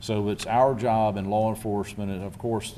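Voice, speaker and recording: A man speaks with a Lowcountry South Carolina accent and a fairly low pitch. His tone is dark and mellow, and the room echo is audible. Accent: US Southern (South Carolina Lowcountry). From South Carolina Lowcountry (Beaufort County). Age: 60s. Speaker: county sheriff. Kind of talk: press conference Q&A. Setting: press conference with media and public.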